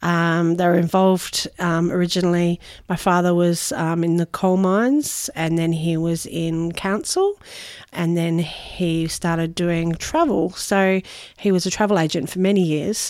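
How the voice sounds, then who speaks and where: A woman's fairly low voice in an Australian accent, with fairly even intonation. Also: fairly slow pace. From Noosa, Queensland, Australia. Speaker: caterer and food business owner. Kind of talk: interview. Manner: hesitant, many fillers.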